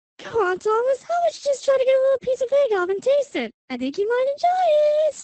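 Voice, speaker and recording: Putting on a squeaky character voice, a woman races along at a very fast pace with lively intonation and an extremely high pitch. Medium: machinima. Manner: cheerful, teasing.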